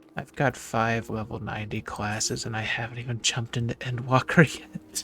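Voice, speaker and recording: Noticeable background noise sits behind a man talking at a moderate pace with fairly even intonation. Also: medium pitch for a man. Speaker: gaming streamer. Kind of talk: casual chat.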